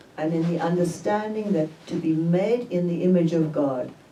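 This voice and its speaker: Audible room echo surrounds a woman speaking at a fairly slow pace in a very deep, low pitch with ordinary pitch variation. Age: 80s+. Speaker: theologian and author. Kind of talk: book talk interview.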